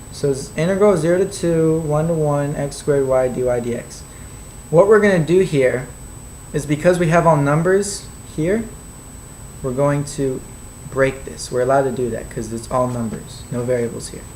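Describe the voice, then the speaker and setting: Speech moves at a moderate pace, broken by long and frequent pauses. There is noticeable noise in the background. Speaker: math tutor. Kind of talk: tutorial.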